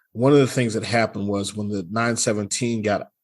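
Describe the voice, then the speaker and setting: In a very clean recording with a silent background, a man with a Southern US accent speaks at a moderate pace with a fairly low pitch and fairly even intonation. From US South. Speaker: car podcast host. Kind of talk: casual podcast chat.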